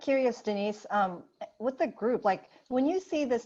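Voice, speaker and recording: Speaking with a Lao accent, a woman uses a dark, mellow tone. Her pace is moderate, and her intonation lively. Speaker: social services manager. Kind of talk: webinar discussion. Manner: repeats words, hesitant.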